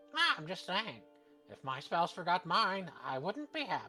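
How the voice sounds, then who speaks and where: Moderately paced speech in a put-on character voice, clear music playing behind it. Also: man, high pitch for a man. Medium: actual play. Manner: teasing, flippant.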